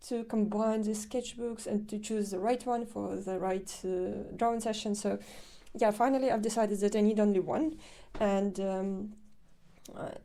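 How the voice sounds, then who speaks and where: A woman's fairly high voice with a dark, mellow tone, a non-native accent, fairly even intonation and a moderate pace. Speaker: artist. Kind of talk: casual vlog narration. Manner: hesitant, with many fillers.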